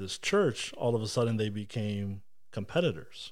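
A man's fairly low voice at a moderate pace, with fairly even intonation and audible room echo. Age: 30s. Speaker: local politician. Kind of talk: casual chat.

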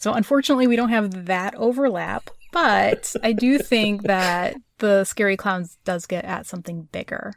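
A woman speaks at a moderate pace with medium pitch and ordinary pitch variation. Hers is an unremarkable speaking voice. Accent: American. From Chicago. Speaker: podcast co-host. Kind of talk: casual chat.

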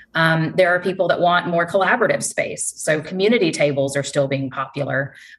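The speaker has a Southern US accent and moves along at a fairly quick pace. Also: woman. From North Carolina, US South. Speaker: interior design sales executive. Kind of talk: professional interview.

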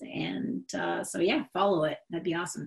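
A woman's voice with vocal fry at a moderate pace. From Michigan, US Midwest. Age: 30s. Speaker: singer-songwriter and company employee. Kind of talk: interview, casual chat.

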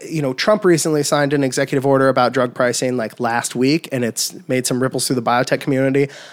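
Here a man talks at a fairly high pitch with an American accent. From US Midwest, central Illinois. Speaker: synthetic biologist and biotech CEO. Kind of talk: casual chat. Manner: halting, many repetitions.

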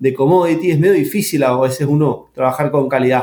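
In an ordinary speaking voice, a man with a fairly high pitch talks at a moderate pace with ordinary pitch variation. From Argentina, San Juan. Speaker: winemaker and agronomist. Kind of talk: interview.

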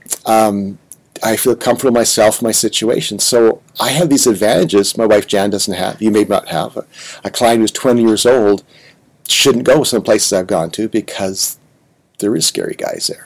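A man talks in an ordinary speaking voice. His pitch varies in an ordinary way. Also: medium pitch for a man, moderate pace. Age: 60s. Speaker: podcast host. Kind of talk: interview conversation.

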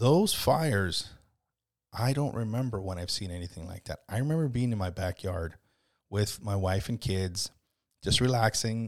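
A man speaks at a moderate pace in a plain, everyday voice, with a fairly low pitch and ordinary pitch variation. The recording is very clean, with a silent background. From US, Mexican-American. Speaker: local podcast host and community page publisher. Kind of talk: solo podcast monologue. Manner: casual, conversational with frequent fillers and repetitions.

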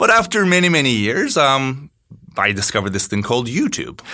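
A man speaks with a Turkish accent in a bright, sharp tone. His pace is fairly quick. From Turkey, Istanbul. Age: 30s. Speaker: tech company CEO. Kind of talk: interview.

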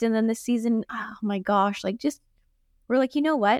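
A woman with an American accent speaks in a plain, everyday voice, fairly high in pitch with fairly even intonation, the sound dry and close with no echo. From US Northeast, Boston. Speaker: company co-founder. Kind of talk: interview conversation.

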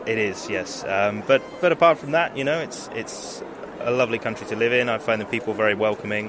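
Noticeable background noise sits behind the voice. A man speaks at medium pitch and a fairly quick pace. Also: ordinary pitch variation. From southwest England, Devon. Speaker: expat interviewee. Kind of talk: street interview. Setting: at a fair.

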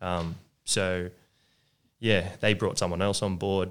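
A man speaks with an Australian accent in a very deep, low voice. The recording is very clean, with a silent background. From Sutherland Shire, Sydney, Australia. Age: 20s. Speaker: business owner. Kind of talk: casual interview.

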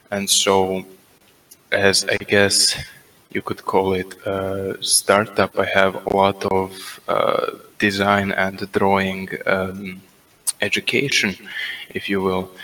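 Noticeable background noise sits behind a man speaking at a very slow pace. He has a fairly low pitch and a monotone, flat intonation. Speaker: voice-lounge questioner. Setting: online voice chat.

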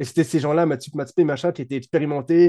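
At a very fast pace, a man talks in a fairly high pitch with a dark, mellow tone. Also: dry, close sound with no echo. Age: 30s. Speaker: tabletop RPG designer and video creator. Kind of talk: casual interview chat.

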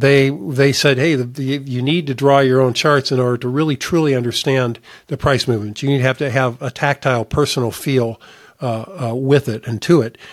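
Here a man talks at a moderate pace and a medium pitch. His intonation is fairly even, in an unremarkable speaking voice. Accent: American. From US Midwest, northern Indiana. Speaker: investment advisor. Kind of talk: solo podcast monologue.

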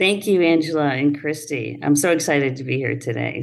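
A woman talks at a fairly quick pace in a very deep, low voice with vocal fry and ordinary pitch variation. Audible room echo surrounds her. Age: 60s. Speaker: construction company owner. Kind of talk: interview.

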